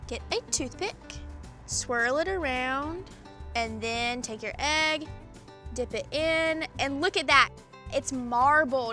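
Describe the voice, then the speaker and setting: Over music in the background, a raised, projected voice with a Southern US accent and an upbeat tone moves at a very slow pace with ordinary pitch variation and long, frequent pauses. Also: woman, high pitch for a woman. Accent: Southern American. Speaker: test kitchen cook. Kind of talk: cooking show host to camera. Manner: upbeat, chatty.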